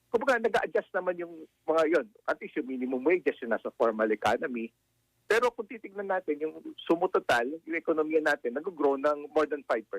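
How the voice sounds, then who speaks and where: Fairly high in pitch, a man talks at a fairly quick pace with very wide pitch swings. The sound is dry and close, with no echo. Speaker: economist. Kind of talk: radio interview.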